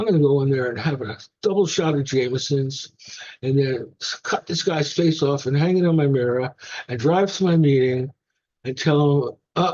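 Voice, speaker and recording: With a New York accent, a man speaks at a fairly high pitch. His pace is moderate and his pitch variation ordinary. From New York, the Bronx. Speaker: recovering alcoholic sharing his story. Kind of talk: testimony at a recovery meeting. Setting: meeting with audience. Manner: casual, humorous storytelling.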